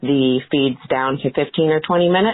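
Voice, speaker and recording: In a Southern US accent, the voice moves at a moderate pace. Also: woman. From Georgia, US South. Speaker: new mother caller. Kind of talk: recorded listener question.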